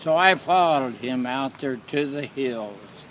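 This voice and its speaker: Medium-pitched male speech with ordinary pitch variation. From Oklahoma. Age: 80s+. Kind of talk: personal storytelling.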